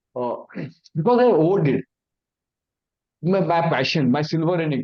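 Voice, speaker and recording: With an Indian accent, a man speaks at a fairly high pitch with ordinary pitch variation. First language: Hindi. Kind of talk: awareness talk. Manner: halting.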